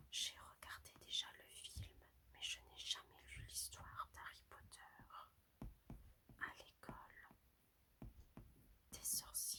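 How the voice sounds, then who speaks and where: The speaker whispers very slowly, stopping often for long pauses. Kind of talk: casual intro to listeners. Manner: whispered; soft, soothing.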